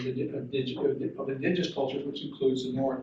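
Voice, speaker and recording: Audible room echo is present in the recording. The man's pitch is fairly high. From Newfoundland, Canada (Corner Brook). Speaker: dean of education. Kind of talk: conference panel talk. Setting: conference panel with audience. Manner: halting, many fillers and repeats.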